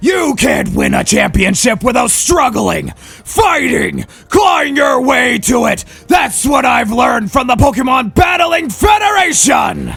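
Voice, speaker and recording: A man shouts in a put-on character voice at an extremely high pitch and a fairly slow pace. Music plays in the background. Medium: role play. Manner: loud, fiery.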